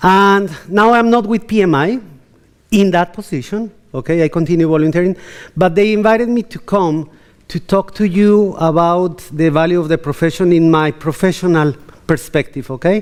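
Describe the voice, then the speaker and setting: With a Latin American accent, a man speaks in a high voice with ordinary pitch variation. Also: moderate pace. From Colombia. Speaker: keynote speaker. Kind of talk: conference keynote. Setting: stage with audience. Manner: animated.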